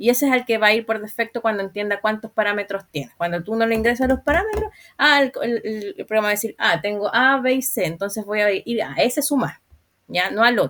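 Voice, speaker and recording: Her pitch is fairly high and varies in an ordinary way. The woman talks fairly quickly. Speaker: programming instructor. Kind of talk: online class lecture. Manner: fast; halting, repeats words.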